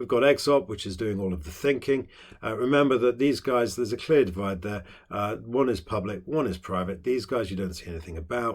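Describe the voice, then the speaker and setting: Fairly low in pitch, a man speaks with a British accent and lively intonation. He goes at a fairly quick pace on a very clean recording with a silent background. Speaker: politics teacher. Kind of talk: lecture. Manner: fast; hesitant with many fillers.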